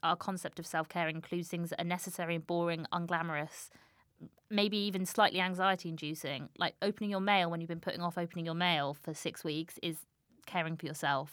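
In a normal speaking voice, the words come at a fairly quick pace with fairly even intonation. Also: woman. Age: 20s. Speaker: author and journalist. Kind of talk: interview.

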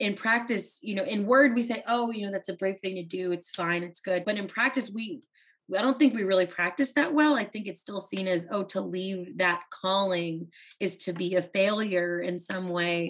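This woman has a plain, everyday voice, speaking at a medium pitch and a moderate pace with ordinary pitch variation. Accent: American. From South Texas, US; teen years in India. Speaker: author. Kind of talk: casual chat.

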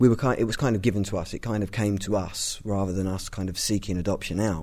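Speaking at a very fast pace with a London accent, the man has a dark, mellow tone, a fairly low pitch, and fairly even intonation. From East London. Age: 30s. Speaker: adoptive parent and writer. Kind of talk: interview. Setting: in person. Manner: halting, many fillers and repetitions.

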